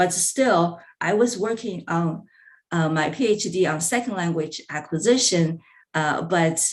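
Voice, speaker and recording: A woman's fairly low voice in a Chinese accent, fairly slow pace, and ordinary pitch variation. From China. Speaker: language professor. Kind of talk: conference presentation. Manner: halting, many fillers.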